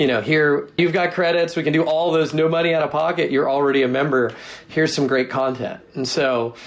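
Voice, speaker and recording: Over noticeable background noise, a man with an American accent and a fairly high pitch speaks with very even loudness and fairly even intonation. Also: fairly quick pace. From US Northwest, Seattle. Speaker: tech company product executive. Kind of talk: interview.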